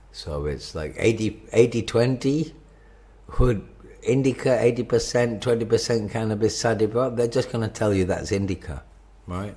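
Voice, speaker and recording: At a moderate pace, a man with a medium pitch and a dark, mellow tone shows vocal fry and ordinary pitch variation. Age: 50s. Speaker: cannabis shop owner. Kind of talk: product review monologue. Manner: halting.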